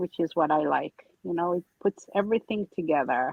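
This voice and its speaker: Speaking at a fairly quick pace, a woman with an American accent uses a fairly low pitch and ordinary pitch variation. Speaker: artist demonstrating technique on a livestream.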